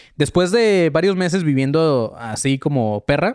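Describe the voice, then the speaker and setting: A man with a Mexican accent speaks in an animated tone with lively intonation. The recording is very clean, with a silent background and a dry, close sound with no echo. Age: 30s. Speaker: podcast host. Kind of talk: casual monologue, live stream. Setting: at home. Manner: halting, with fillers.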